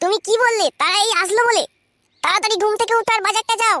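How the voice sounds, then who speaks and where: A woman puts on a cartoonish character voice at an extremely high pitch, with very even loudness and a dry, close sound with no echo. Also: fairly quick pace. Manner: shrill, scolding.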